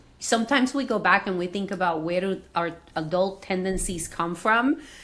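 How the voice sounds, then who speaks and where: A woman with a Spanish accent speaks at a moderate pace, her intonation lively. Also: medium pitch for a woman. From Venezuela. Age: 50s. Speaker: executive coach. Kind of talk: interview conversation.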